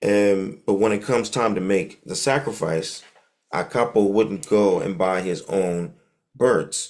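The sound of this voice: Against a quiet background, the reading voice sounds unforced.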